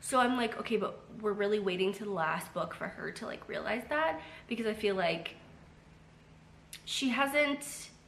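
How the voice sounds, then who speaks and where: Speaking at a moderate pace with long, frequent pauses, a woman with a fairly high voice is heard over noticeable background noise and audible room echo. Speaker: booktuber. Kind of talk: casual vlog chat. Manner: chatty with many fillers.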